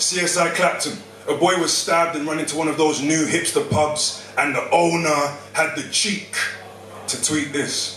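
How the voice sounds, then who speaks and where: A man speaks at a moderate pace and fairly high pitch with fairly even intonation, heard through noticeable background noise and audible room echo. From London, Hackney. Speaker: spoken word poet. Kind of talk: spoken word performance. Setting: stage with audience.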